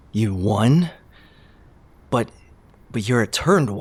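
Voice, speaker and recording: A man speaks at a fairly slow pace in a put-on character voice with a medium pitch. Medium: audio drama. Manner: cold, curt.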